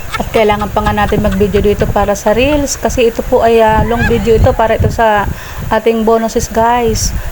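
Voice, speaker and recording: Soft-spoken and fairly high in pitch, a woman talks at a fairly quick pace with very even loudness and monotone, flat intonation, amid noticeable background noise and audible room echo. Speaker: cooking vlogger. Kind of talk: cooking voice-over. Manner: getting quieter.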